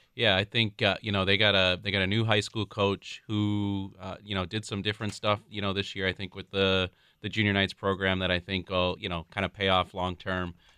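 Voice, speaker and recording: Speaking with an Upper Midwest accent, a man with a fairly low pitch talks at a fairly quick pace in a monotone, flat intonation with hardly any pauses. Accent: Upper Midwest (Minnesota). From Minnesota, suburb of Saint Paul. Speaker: restaurant regional director and youth baseball parent. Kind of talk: radio interview. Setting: studio.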